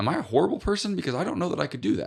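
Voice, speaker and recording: With an American accent, a man speaks with vocal fry and very wide pitch swings. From US Midwest, northwest Ohio. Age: 40s. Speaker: TV talk show host and author. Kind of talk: podcast interview. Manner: careful articulation; animated storytelling.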